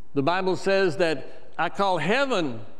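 The voice is male. Its pitch swings very wide. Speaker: church preacher / minister. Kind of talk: sermon delivery. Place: church. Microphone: lapel.

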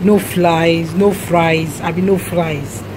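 Over noticeable background noise, a woman speaks at a fairly low pitch with ordinary pitch variation. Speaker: vlogger. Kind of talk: casual vlog chat. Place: shop. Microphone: phone near.

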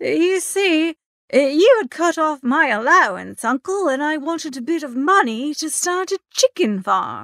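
Using a put-on character voice with vocal fry and a fairly bright tone, the speaker goes at a fairly slow pace with big pitch swings, in a dry, close sound with no echo.

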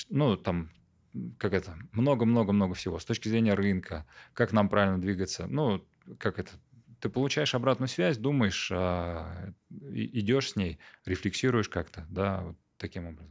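Over a quiet background, a man with a fairly low pitch speaks at a moderate pace with lively intonation and long, frequent pauses. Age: 30s. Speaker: entrepreneur; podcast guest. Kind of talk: interview. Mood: calm, reflective. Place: studio. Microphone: studio mic.

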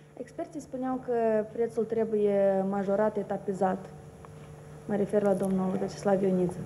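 A woman talks at a moderate pace with medium pitch and ordinary pitch variation. Her speech has long, frequent pauses over light background noise. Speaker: journalist. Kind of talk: press conference questions. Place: meeting room.

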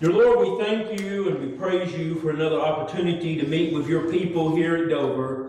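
A man talks at a moderate pace in a high pitch with ordinary pitch variation. There is audible room echo. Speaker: pastor preaching. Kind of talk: sermon. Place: church.

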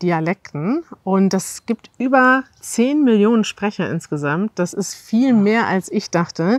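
A woman speaks at a fairly slow pace with lively intonation, in a dry sound with no echo against a quiet background. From Northern Germany. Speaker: language video host. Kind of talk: interview questions to guest. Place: garden. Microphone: lapel.

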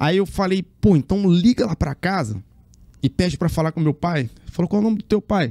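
A high-pitched man's voice with a dark, mellow tone, lively intonation and a fairly quick pace, over a quiet background. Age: 40s. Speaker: circus acrobat; interview guest. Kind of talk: interview. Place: studio. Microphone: studio mic.

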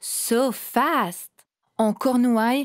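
In a solemn, theatrical tone, a woman speaks over a silent background on a very clean recording. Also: dry, close sound with no echo. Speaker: storyteller performer. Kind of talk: dramatic first-person narration as the knotweed plant. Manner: theatrical, clipped declarative phrasing; slow, ceremonial, solemn address.

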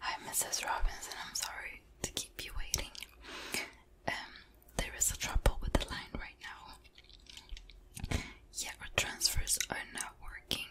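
A soft-spoken woman whispering at a fairly slow pace, with long, frequent pauses. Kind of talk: role-play phone call, soft-spoken. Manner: soft whispered polite phone voice. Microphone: studio mic.

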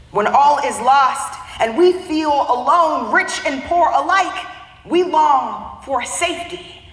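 The speaker has an American accent, and there is audible room echo. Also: woman. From US Midwest, Youngstown, Ohio; Ohio. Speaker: spoken word poet. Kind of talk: spoken word performance. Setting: conference stage. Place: hall.

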